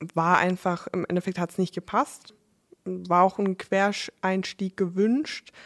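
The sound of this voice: A woman's fairly low pitch with little pitch movement.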